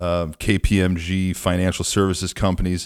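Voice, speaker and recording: A man talks in a very deep, low pitch. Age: 40s. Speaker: podcast host, staffing business owner. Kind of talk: interview. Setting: remote call.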